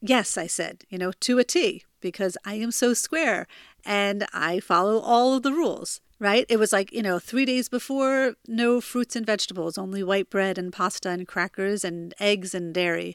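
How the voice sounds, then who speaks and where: Speaking in a New Jersey accent, a woman talks at a moderate pace with hardly any pauses and ordinary pitch variation, recorded very cleanly with a silent background and a dry, close sound with no echo. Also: medium pitch for a woman. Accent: American (New Jersey). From US, New Jersey. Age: 40s. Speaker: life coach and podcast host. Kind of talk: solo podcast monologue, storytelling. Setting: home recording in childhood bedroom.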